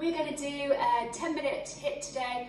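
A high-pitched woman's voice at a fairly slow pace, with audible room echo and light background noise. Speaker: fitness instructor. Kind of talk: workout class intro. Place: home room.

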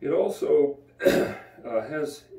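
This is a man speaking. Room echo can be heard. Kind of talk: devotional bible teaching. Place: home room. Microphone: camera far.

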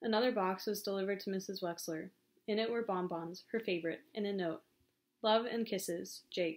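In a quiet setting, the text is read aloud in a natural voice, its pitch rising and falling in an ordinary way.

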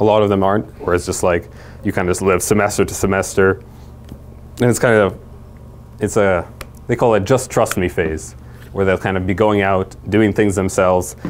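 Long, frequent pauses break up the speech, with ordinary pitch variation. Light background noise sits underneath. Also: man. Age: 20s. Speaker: youth ministry speaker; presenter. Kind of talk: talk to church parents and leaders; lecture. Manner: many filler words. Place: classroom.

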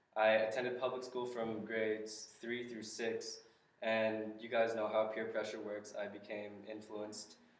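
Speaking in a monotone with an American accent, a man with a fairly low voice talks at a moderate pace while room echo can be heard. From Southern California, Los Angeles County; California. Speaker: church member giving testimony; speaker. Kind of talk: testimony; personal witness talk to a group. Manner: halting, many fillers. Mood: earnest, reflective. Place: classroom. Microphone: camera far.

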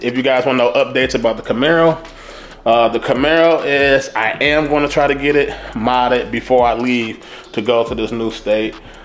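With faint music in the background, the speaker talks in an American accent with fairly even intonation. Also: man, medium pitch for a man, moderate pace. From Detroit, Michigan. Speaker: car YouTuber. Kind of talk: casual vlog. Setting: at home. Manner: casual, laid-back. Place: home room. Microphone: phone near.

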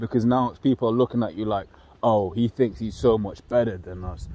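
A man talks at a fairly quick pace with a London accent. The sound is dry, with no echo. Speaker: religious group member leading bible study. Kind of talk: casual bible study discussion. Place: open country. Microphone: phone near.

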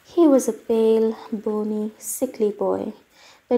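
A natural voice reading aloud, fairly even in intonation

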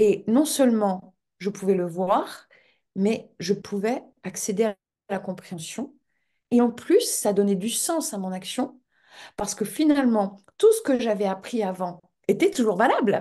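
Over a quiet background, a woman with a dark, mellow tone talks at a fairly slow pace with ordinary pitch variation and long, frequent pauses. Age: 50s. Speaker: interviewee. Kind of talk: interview. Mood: earnest, moved at the end. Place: home room. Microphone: video call.

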